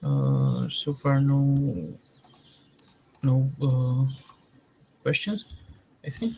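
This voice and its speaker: A man at a very slow pace, with long, frequent pauses and noticeable background noise. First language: Romanian. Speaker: trainer. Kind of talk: online training.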